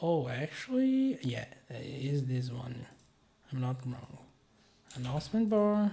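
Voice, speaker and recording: Over noticeable background noise, a man with a non-native accent talks fairly slowly at a medium pitch, with lively intonation and long, frequent pauses. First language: not English. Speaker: web developer, tutorial creator. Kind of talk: screen-share tutorial. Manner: hesitant, many fillers.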